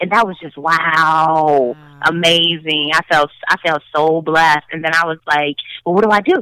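Fairly slow speech from a woman at a fairly low pitch, dry and close with no echo. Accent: Chicago. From Chicago. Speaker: actress and producer. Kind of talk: casual interview chat. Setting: remote call.

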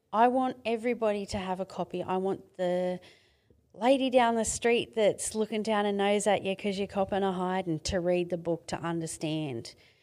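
Very clean recording with a silent background, a woman of medium pitch at a moderate pace, with ordinary pitch variation. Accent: Australian. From Australia, Mid-North Coast of New South Wales. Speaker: domestic violence survivor and author. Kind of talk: testimony.

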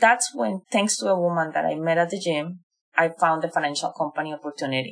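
Talking at a fairly quick pace, a woman with a Spanish accent uses lively intonation at a fairly low pitch. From Colombia. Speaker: digital marketing professional. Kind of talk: interview.

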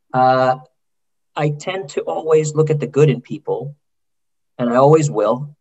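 This man's voice comes across as somewhat breathy. His pitch is fairly high. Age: 50s. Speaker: orthopedic surgeon. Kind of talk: interview conversation.

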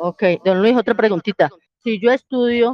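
With ordinary pitch variation, the woman talks in an unremarkable speaking voice. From Colombia, Cali. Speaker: prospective migrant asking questions. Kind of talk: casual group voice chat.

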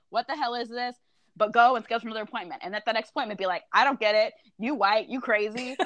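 A woman with an American accent, fairly high pitch and ordinary pitch variation at a very fast pace. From Texas, Austin. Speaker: musician and social justice advocate. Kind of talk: casual chat.

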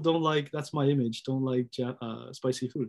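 Against a quiet background, a man talks at a moderate pace and medium pitch, with ordinary pitch variation and an unremarkable speaking voice. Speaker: YouTube interviewer host. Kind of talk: casual interview chat.

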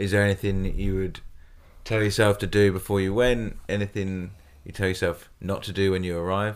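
The recording is very clean, with a silent background. A man speaks fairly quickly at a fairly low pitch in a flat monotone. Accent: British. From UK. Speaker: podcast co-host, expat in Australia. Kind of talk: casual chat, podcast conversation.

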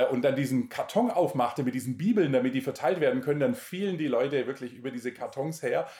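A somewhat breathy voice of dark, mellow tone, fairly quick and with lively intonation. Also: man. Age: 40s. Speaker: missionary and Bible teacher. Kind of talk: interview, personal testimony and Bible teaching.

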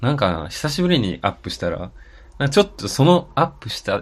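A somewhat breathy man with very wide pitch swings against a quiet background. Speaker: podcast co-host. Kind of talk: casual chat.

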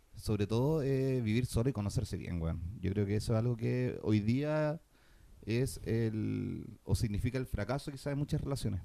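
Speaking at a moderate pace, a man with a Chilean accent has a dark, mellow tone and a medium pitch. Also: ordinary pitch variation. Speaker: podcast co-host. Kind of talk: casual chat.

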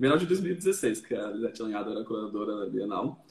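A man is speaking. He has an ordinary speaking voice at a medium pitch. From Brazil, São Paulo area (Barueri). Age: 30s. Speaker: artist. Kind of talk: casual chat. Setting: online live stream.

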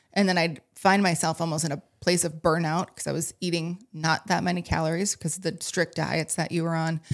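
A woman speaks at a fairly quick pace with hardly any pauses. Her fairly low voice stays monotone and flat. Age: 30s. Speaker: coach and breathwork teacher. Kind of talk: casual chat.

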